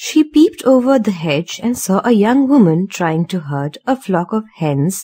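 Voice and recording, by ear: The intonation is lively as this person reads aloud in a natural voice.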